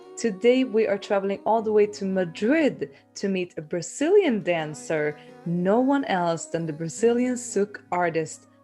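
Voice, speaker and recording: Over music in the background, a woman with a medium pitch speaks fairly slowly in an upbeat tone, with very wide pitch swings and hardly any pauses. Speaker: podcast host. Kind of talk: podcast intro and interview questions.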